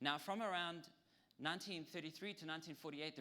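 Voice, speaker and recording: A man's very fast speech in a South African accent, fairly high-pitched, with a bright, sharp tone and ordinary pitch variation. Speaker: lecturer. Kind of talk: lecture. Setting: audience with PowerPoint. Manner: hesitant, with frequent ums.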